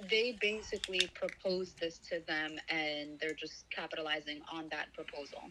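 With noticeable background noise around her, a woman speaks at a moderate pace with a fairly low pitch, ordinary pitch variation, and hardly any pauses. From Palestinian heritage. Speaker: activist guest. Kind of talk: interview.

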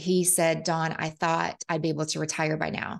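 A woman speaks in a fairly low pitch against a quiet background. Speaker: real estate investor. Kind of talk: interview. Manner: enthusiastic.

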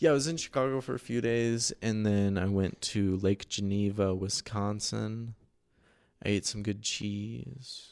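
The recording is very clean with a silent background. A man with an American accent and an ordinary speaking voice talks at a fairly slow pace, with a fairly low pitch and ordinary pitch variation. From central Oregon, US. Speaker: podcast host and artist. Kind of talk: casual chat.

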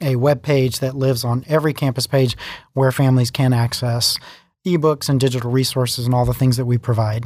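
A man's medium-pitched, plain, everyday voice at a fairly quick pace, with fairly even intonation, very even loudness, and a very clean recording with a silent background. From US, child of Italian immigrants. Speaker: school district library director. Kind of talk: podcast interview.

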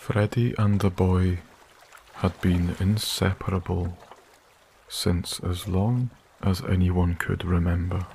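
Speaking at a very slow pace with long, frequent pauses, a man with a very deep, low pitch keeps his loudness very even, his tone calm and soothing and his intonation fairly even. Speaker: sleep story narrator and channel creator. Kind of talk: scripted fairy-tale bedtime narration, soft-spoken ASMR reading. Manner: soft-spoken, slow, calm and soothing, with gentle storyteller pacing and long pauses; warm, hushed, unhurried storytelling.

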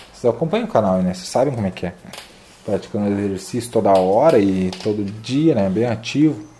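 A fairly low-pitched man at a fairly quick pace, ordinary pitch variation, noticeable background noise. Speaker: fitness youtuber, calisthenics athlete. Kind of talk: casual interview.

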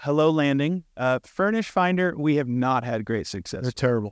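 With an unremarkable speaking voice, a man talks at a moderate pace in a fairly high pitch with ordinary pitch variation, in a dry, close sound with no echo and a quiet background. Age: 30s. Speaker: property manager and real estate investor. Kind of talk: panel discussion.

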